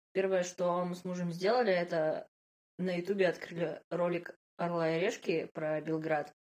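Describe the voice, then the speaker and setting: Her pitch is fairly low. The intonation is monotone and flat. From Russia, Yekaterinburg (Urals). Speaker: podcast co-host, product manager. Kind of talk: casual chat.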